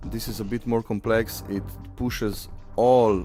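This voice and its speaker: A man with a fairly low pitch at a very slow pace, music in the background. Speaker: software developer. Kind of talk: technical tutorial screencast narration. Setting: home recording. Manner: casual, with frequent hesitations.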